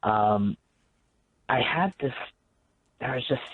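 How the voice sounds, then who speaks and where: A man with a medium pitch. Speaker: paranormal investigator. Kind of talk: radio guest interview. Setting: phone line.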